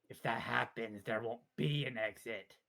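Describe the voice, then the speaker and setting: At a moderate pace, a man puts on a character voice at a medium pitch. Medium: machinima. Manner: blunt, terse, clipped; broken, simple grammar.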